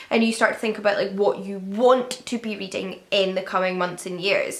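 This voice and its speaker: A woman speaks with a Scottish accent. Her pace is fairly quick. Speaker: book youtuber. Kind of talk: casual chat. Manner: conversational.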